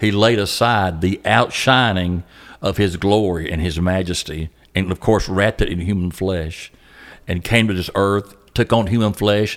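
A man with a Southern US accent, fairly low in pitch, at a moderate pace with fairly even intonation. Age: 60s. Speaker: pastor. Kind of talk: casual chat. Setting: room at youth camp.

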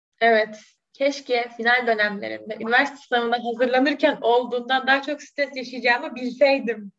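A high-pitched woman talking at a fairly quick pace. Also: fairly even intonation. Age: 20s. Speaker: law student. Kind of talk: interview.

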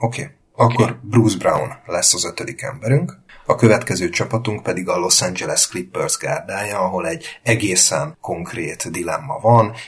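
A moderate pace with hardly any pauses. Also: man. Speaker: basketball podcast host. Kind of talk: casual chat.

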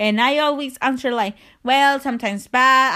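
Raising and projecting her voice, a woman with a non-native accent speaks in a high pitch with an animated tone. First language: not English (learning English). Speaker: podcast host. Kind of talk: casual monologue, confessional. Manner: halting, rambling; animated, emotional.

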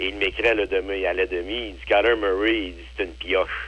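A man speaks at a fairly slow pace with a fairly low pitch. His intonation is lively, and there is vocal fry. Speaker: football analyst. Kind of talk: casual chat.

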